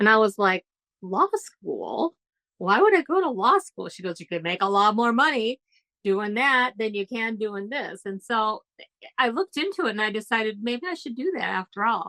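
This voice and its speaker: A woman with a normal speaking voice talks at a fairly high pitch with lively intonation and big swings in loudness. The sound is dry and close, with no echo. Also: moderate pace. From born in UK, grew up in US. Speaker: trial attorney and author. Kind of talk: casual interview chat.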